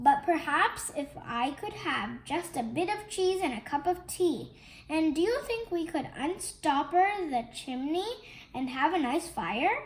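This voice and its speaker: Soft-spoken and fairly slow, a woman does a put-on character voice at an extremely high pitch. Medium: read story. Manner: soft, polite.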